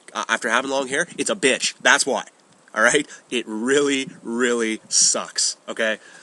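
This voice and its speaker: A man's voice amid noticeable background noise. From Ontario, Canada. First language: French. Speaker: gaming and media vlogger. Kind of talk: casual vlog monologue. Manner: halting, many fillers and repeats.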